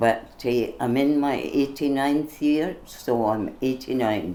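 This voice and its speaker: Very slowly and in a Scottish accent, a woman speaks with a very deep, low pitch, a dark, mellow tone and ordinary pitch variation. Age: 80s+. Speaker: political party member. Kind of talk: interview. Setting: on location in Glasgow.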